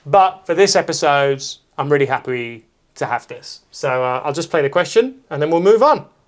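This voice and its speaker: In a very clean recording with a silent background, a man with a British accent talks at a moderate pace, his fairly high voice full of lively intonation. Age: 30s. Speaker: comedian and talk show host. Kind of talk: casual chat.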